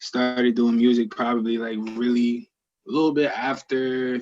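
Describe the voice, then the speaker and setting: A man speaks at a fairly slow pace in a medium pitch. His intonation is flat and monotone. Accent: American. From Newark, New Jersey. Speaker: singer-songwriter. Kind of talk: interview. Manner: casual, lots of filler words.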